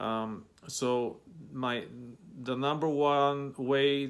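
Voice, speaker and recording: A man with a Bulgarian accent speaks at a medium pitch. His intonation is flat and monotone. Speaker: vlogger. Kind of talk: advice vlog. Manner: many fillers and hesitations.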